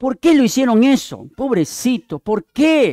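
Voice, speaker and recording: A man speaks at a moderate pace with very wide pitch swings, in a very clean recording with a silent background and a dry, close sound with no echo. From Peruvian Amazon (Yurimaguas, Pucallpa), then Lima from 14. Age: 60s. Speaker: visiting preacher. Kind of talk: sermon.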